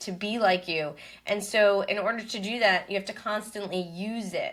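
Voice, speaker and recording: A woman with an American accent and an ordinary speaking voice, medium in pitch with ordinary pitch variation, at a moderate pace. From New York City. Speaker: event planner and business coach. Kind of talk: podcast interview.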